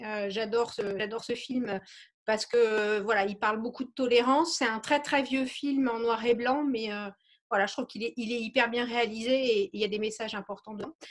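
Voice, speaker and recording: A woman speaks at a moderate pace in a fairly high pitch. It is a plain, everyday voice. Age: 40s. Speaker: real estate agent. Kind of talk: interview.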